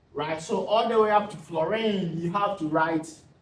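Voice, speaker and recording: Amid audible room echo, a man speaks at a moderate pace with lively intonation. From Ghana. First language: not English. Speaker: tutor. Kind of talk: tutorial. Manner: halting.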